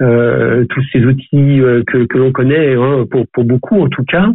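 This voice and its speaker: A man talks at a fairly slow pace. His medium-pitched voice keeps fairly even intonation. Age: 60s. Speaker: management coach and trainer. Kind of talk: podcast interview. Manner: hesitant, many fillers.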